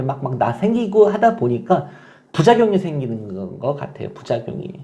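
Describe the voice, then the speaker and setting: A man's somewhat breathy voice with a dark, mellow tone, very wide pitch swings and a moderate pace. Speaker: online divorce-help community manager. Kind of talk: casual vlog talk to viewers.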